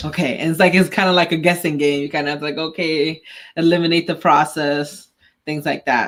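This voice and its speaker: With a non-native accent, a woman speaks fairly quickly in a very deep, low pitch and a monotone, flat intonation. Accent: foreign. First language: not English. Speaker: podcast co-host. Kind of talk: casual chat. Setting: live stream.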